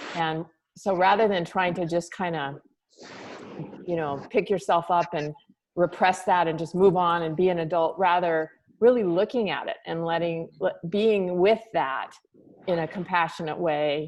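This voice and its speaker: Fairly low in pitch, a woman talks in an unremarkable speaking voice. Her pace is moderate and her intonation fairly even. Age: 60s. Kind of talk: group discussion.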